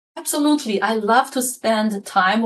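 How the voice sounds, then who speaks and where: A woman speaks with a Mandarin accent at a moderate pace. Her pitch is fairly high. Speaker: leadership coach and author. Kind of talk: podcast interview.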